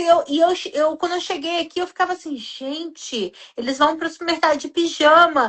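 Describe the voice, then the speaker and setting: A woman speaks in an extremely high pitch. Her intonation is lively. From Brazil. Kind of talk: casual chat.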